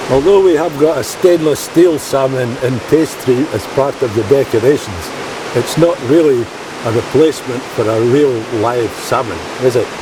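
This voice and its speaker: A man with a Scottish accent speaks at a moderate pace, his pitch medium with ordinary variation. Noticeable background noise runs underneath. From Scotland, Perth. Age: 70s. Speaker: retired ship engineer and angler. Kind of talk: personal testimony.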